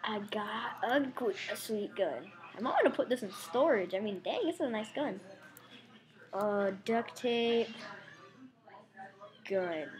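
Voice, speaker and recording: A woman with a fairly high, somewhat breathy voice speaks at a fairly slow pace in an animated tone with lively intonation and long, frequent pauses. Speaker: gaming YouTuber. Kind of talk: gameplay commentary. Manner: casual, animated.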